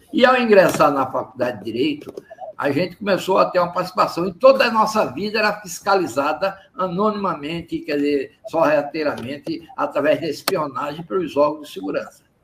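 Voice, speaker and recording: This man talks at a high pitch with very wide pitch swings. He leaves hardly any pauses. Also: fairly quick pace. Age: 80s. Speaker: former student activist, anti-dictatorship militant. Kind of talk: testimony. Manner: halting, with repeated words.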